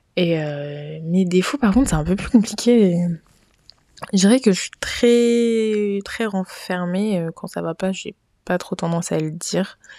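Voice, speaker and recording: Delivered at a very slow pace, the voice has a dark, mellow tone. Its pitch varies in an ordinary way, with big swings in loudness. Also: woman, medium pitch for a woman. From Niger. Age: 20s. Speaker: podcast host. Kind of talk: casual monologue. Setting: home recording with friends.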